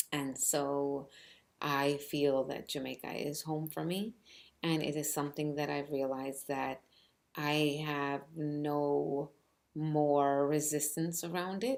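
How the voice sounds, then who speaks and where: On a very clean recording with a silent background, a woman with a Spanish accent speaks at a very slow pace in a very deep, low pitch with monotone, flat intonation. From New York City, Cuban family. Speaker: author. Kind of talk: personal storytelling. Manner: halting, many fillers.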